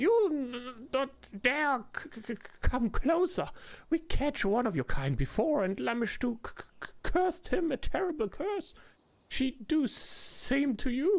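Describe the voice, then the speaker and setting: This is a put-on character voice pitched high. It sounds shaky throughout. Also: fairly slow pace, very clean recording, silent background. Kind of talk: broken simple grammar. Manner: angry, threatening.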